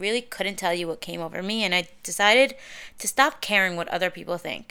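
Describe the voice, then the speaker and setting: A woman's bright, sharp, animated voice with lively intonation, in a very clean recording with a silent background. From US Northeast, Deal, New Jersey (Syrian-American community). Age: 20s. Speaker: podcast host, social media personality. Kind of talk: casual monologue.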